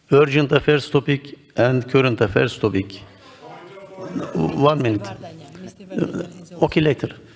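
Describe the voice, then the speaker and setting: Speaking at a very slow pace, a man with a medium pitch keeps his loudness very even while his intonation stays lively, over noticeable background noise. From Turkey. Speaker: session chair of parliamentary assembly. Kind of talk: chairing a parliamentary session. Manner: halting.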